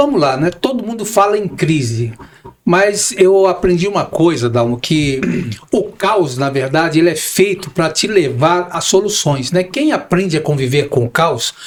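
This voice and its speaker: Noticeable background noise accompanies a man with a high voice who speaks fairly slowly, his intonation lively. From Brazil, São Paulo. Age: 60s. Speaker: real estate broker and manager. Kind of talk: podcast interview.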